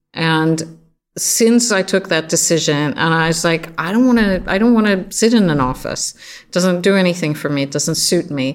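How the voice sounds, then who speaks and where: A woman with a fairly low pitch speaks at a fairly slow pace, her intonation lively. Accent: Swedish. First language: Swedish. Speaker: creative agency founder. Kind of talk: interview.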